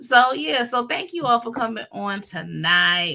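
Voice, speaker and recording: Lively in intonation, the voice has a bright, sharp tone. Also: woman. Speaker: livestream co-host, gardening creator. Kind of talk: casual chat. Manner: fast.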